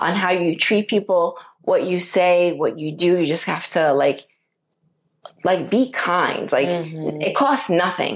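The clip has a normal speaking voice, ordinary pitch variation and a fairly slow pace. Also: woman, fairly low pitch for a woman. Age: middle-aged. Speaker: podcast co-host. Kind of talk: casual chat.

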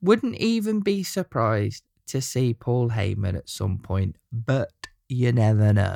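A man with an English accent, medium-pitched with a dark, mellow tone and very wide pitch swings, at a fairly slow pace, the sound dry and close with no echo on a very clean recording with a silent background. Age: 30s. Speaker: wrestling podcaster. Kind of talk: scripted monologue.

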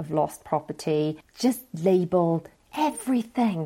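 A woman speaks with a British accent. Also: very clean recording, silent background. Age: 40s. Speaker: parenting podcast host. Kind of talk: solo podcast advice talk.

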